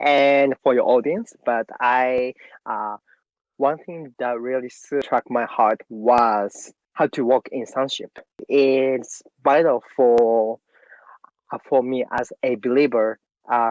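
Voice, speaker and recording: In a Japanese accent, a man talks at a very slow pace and medium pitch with fairly even intonation. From Japan, Tokyo. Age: 30s. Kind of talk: interview. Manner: halting.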